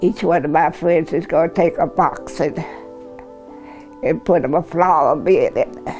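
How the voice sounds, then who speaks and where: A woman with an American accent talks at a fairly slow pace. Music plays in the background. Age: 80s+. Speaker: community matriarch. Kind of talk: oral history interview answer.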